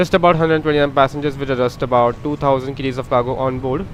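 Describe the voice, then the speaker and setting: This man's voice rides fairly high. It holds to fairly even intonation. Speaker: flight sim streamer. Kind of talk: live gameplay commentary. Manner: halting, many fillers; fast.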